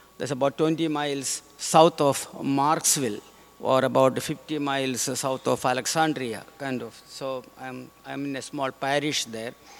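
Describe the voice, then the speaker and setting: A man's fairly high voice at a fairly slow pace, with fairly even intonation, big swings in loudness, and noticeable background noise. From India, Kerala. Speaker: visiting missionary priest. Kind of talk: homily. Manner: halting, many fillers.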